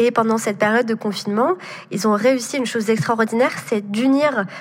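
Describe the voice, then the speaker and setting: Her voice sits fairly high in pitch. This woman shows ordinary pitch variation. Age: 20s. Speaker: entrepreneur. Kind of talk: interview. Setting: remote recording. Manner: hesitant, many fillers.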